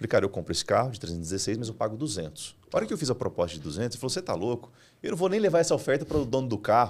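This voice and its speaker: Very fast male speech with vocal fry and very wide pitch swings. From Brazil, Mato Grosso interior. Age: 30s. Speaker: entrepreneur and business mentor; podcast guest. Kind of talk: business podcast interview. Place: studio. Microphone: studio mic.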